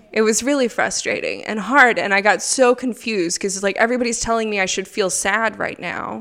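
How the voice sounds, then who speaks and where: Amid noticeable background noise, a woman with an American accent talks at a fairly quick pace, using a fairly high pitch and fairly even intonation. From United States. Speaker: parent and ministry worker. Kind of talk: interview. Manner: hesitant, many fillers.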